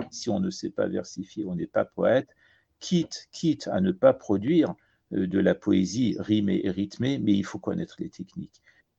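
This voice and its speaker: Fairly slow and fairly low, a man speaks in a dark, mellow, somewhat breathy tone. His pitch swings very widely, and the sound is dry and close with no echo. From Iran and France. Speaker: poet and translator. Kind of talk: interview.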